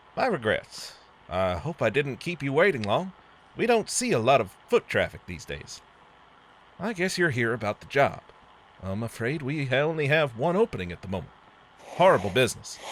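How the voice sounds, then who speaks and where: Putting on a character voice, a man drawls at a moderate pace and medium pitch, with very wide pitch swings and long, frequent pauses. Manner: patient, sounding like smiling.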